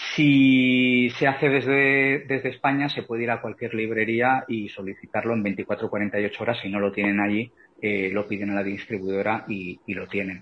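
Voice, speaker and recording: A man speaks at a moderate pace with hardly any pauses. His voice is medium in pitch, with ordinary pitch variation. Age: 40s. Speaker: author and vegan activist. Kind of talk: interview. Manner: halting, many repeated words.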